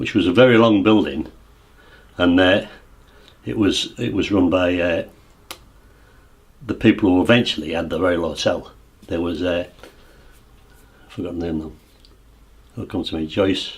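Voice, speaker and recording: A man with an East Yorkshire accent speaks in a very deep, low voice that is somewhat breathy, with ordinary pitch variation. He keeps a moderate pace but takes long, frequent pauses. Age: 60s. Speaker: local resident recalling the past. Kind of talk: oral history interview. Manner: halting, many false starts.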